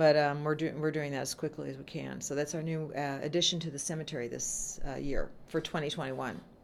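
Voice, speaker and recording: With an American accent, a woman talks at a fairly quick pace with hardly any pauses, her very deep, low pitch held in a monotone, flat intonation. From Southern California. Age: 60s. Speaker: haunted attraction owner. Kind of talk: casual chat.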